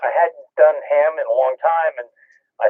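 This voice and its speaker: A man talks at a moderate pace. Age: 60s. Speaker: ham radio operator. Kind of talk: casual chat. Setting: radio transmission.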